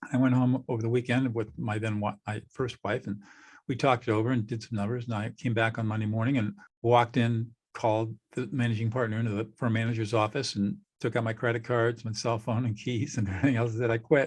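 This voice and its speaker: A man with an American accent, somewhat breathy, very fast and flat in intonation, over a quiet background. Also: medium pitch for a man. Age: 70s. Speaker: mediator, former trial lawyer. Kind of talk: podcast interview.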